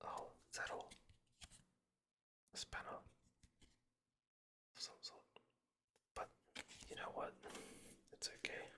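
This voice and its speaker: A man whispering at a moderate pace with long, frequent pauses. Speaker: pack-opening video creator. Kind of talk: ASMR unboxing commentary.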